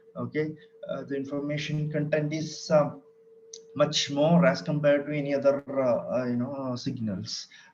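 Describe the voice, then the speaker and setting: Audible room echo and noticeable background noise surround a fairly high-pitched man speaking at a moderate pace with fairly even intonation. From Kerala, India. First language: Malayalam. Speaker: lecturer. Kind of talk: lecture. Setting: online session from home. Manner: hesitant, many fillers.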